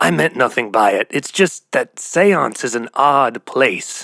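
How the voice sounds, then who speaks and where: A man does a put-on character voice, raspy and medium in pitch, with very wide pitch swings. He speaks at a fairly slow pace in a dry, close sound with no echo. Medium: read story. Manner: cryptic, ominous.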